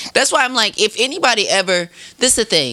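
A man uses a raised, projected voice. Noticeable background noise can be heard. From Wisconsin (Racine). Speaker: podcast guest. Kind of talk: casual chat.

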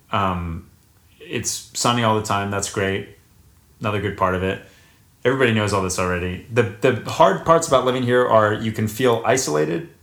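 With an American accent, a man talks at a fairly quick pace in a fairly low pitch, using a normal speaking voice and ordinary pitch variation. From US South, North Carolina. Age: 20s. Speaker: actor. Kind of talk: casual chat.

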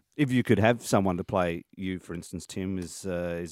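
A man with an Australian accent and a very deep, low pitch talks at a fairly quick pace, the sound dry and close with no echo. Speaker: radio host. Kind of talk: radio interview. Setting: studio. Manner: animated.

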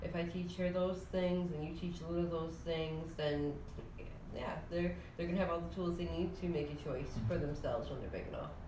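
A woman with fairly low pitch and fairly even intonation, against noticeable background noise. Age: 20s. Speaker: podcast co-host, parent. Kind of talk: casual chat.

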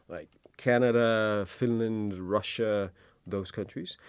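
A man with a Danish accent, fairly low in pitch with ordinary variation, on a very clean recording with a silent background. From Denmark. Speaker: happiness researcher. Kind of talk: interview.

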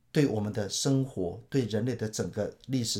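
With a dark, mellow tone and a somewhat breathy quality, the man speaks at medium pitch and uses ordinary pitch variation. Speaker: pastor. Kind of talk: Bible teaching talk.

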